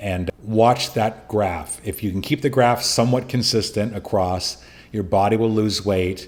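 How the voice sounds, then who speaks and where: A normal speaking voice at a moderate pace, with ordinary pitch variation. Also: man. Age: 60s. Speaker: podcast host, prostate cancer survivor. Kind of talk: solo podcast monologue giving advice. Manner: casual, conversational.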